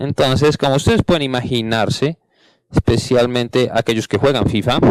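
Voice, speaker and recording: This man speaks at a moderate pace in a medium pitch, with ordinary pitch variation and very even loudness. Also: dry, close sound with no echo. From Canada. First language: English (speaking Spanish). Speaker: panel moderator, game industry manager. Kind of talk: conference panel introduction. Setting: stage with audience.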